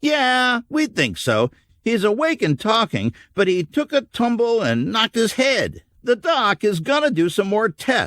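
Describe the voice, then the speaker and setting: A man uses a put-on character voice with a high pitch. He keeps a moderate pace and very even loudness. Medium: read story. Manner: blunt, casual.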